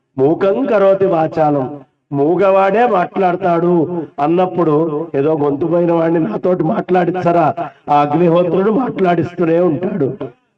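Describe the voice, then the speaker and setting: Here a man is speaking. His pitch is high. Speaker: Vedic priest conducting a yajna. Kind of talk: religious discourse. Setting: seated at a ritual gathering.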